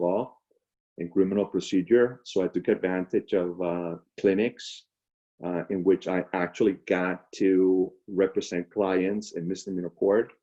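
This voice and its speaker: A man with a Spanish accent speaks at a fairly slow pace in a very deep, low pitch, with fairly even intonation and a dark, mellow tone against a quiet background. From Venezuela, Caracas. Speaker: public defender. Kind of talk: career talk. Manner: halting, many fillers.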